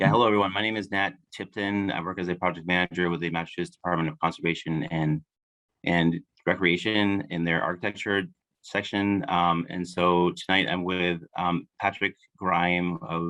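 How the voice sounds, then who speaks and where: Fairly even intonation marks this man's very deep, low-pitched voice. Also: moderate pace. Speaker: state project manager. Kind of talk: presentation at public meeting.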